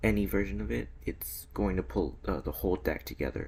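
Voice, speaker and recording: Vocal fry runs through this man's voice. His pace is moderate. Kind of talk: casual gaming commentary. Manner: stuttering, hesitant.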